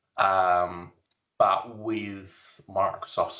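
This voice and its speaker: The speaker is a man with an Australian accent. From South Australia. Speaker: IT solutions architect. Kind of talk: podcast interview. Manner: casual, hesitant with fillers.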